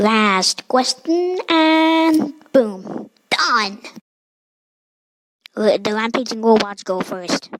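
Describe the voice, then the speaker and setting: In a cartoonish character voice, a woman speaks very slowly at a fairly high pitch, with very wide pitch swings and long, frequent pauses. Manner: sarcastic, casual.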